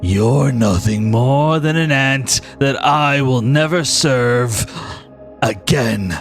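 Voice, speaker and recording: With clear music in the background, a man in a put-on character voice speaks at medium pitch and a very slow pace. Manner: menacing, contemptuous.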